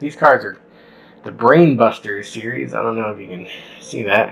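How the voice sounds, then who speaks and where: A man speaks at a moderate pace. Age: 40s. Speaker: quiz host. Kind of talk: casual quiz game. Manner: animated. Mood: jokey, amused, laughing. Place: home room. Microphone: webcam.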